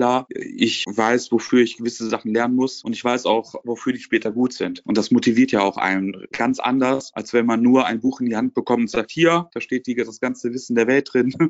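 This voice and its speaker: In a plain, everyday voice, a man with a medium pitch talks at a moderate pace. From Lower Rhine region, Germany. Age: 20s. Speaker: car dealership trainee and business student. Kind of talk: interview.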